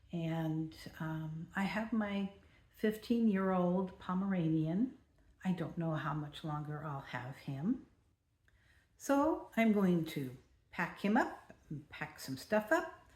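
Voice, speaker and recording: A woman with an American accent, fairly low-pitched and somewhat breathy, at a very slow pace with lively intonation and long, frequent pauses. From California. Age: 70s. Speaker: vlogger. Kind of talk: personal vlog monologue.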